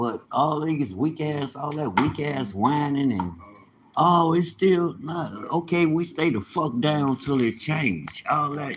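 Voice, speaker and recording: A man talks at a very slow pace with ordinary pitch variation as noticeable background noise continues. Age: 50s. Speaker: livestreamer. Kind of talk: casual livestream monologue. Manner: animated.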